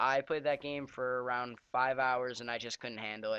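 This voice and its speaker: A man speaks with a bright, sharp tone. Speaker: gaming commentator. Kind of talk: live gameplay commentary. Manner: fast; casual, rambling. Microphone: cheap mic, far from mouth.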